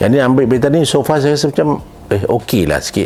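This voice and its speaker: Fairly quick talk from a man, noticeable background noise behind it. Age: 60s. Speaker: drama and film director. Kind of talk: product testimonial. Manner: casual conversational.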